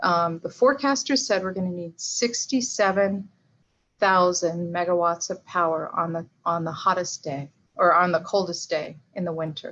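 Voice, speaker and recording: At a moderate pace, a woman talks at medium pitch with ordinary pitch variation. The background is quiet. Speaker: energy policy director, guest speaker. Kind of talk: presentation with slides. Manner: hesitant, many fillers.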